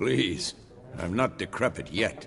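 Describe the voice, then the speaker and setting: A man speaks in a put-on character voice that sounds raspy. Clear background noise runs behind him. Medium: video game.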